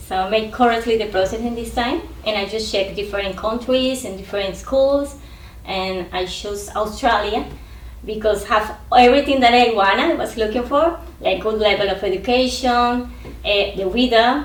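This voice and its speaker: Moderate-paced speech from a woman with a fairly high pitch and ordinary pitch variation, amid audible room echo and noticeable background noise. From Colombia. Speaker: international student. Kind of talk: interview.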